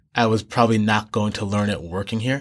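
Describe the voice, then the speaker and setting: A man with an unremarkable speaking voice and a medium pitch talks at a fairly quick pace. The recording is very clean, with a silent background. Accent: American. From New York City and Boston area. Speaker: expat filmmaker. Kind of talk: interview conversation.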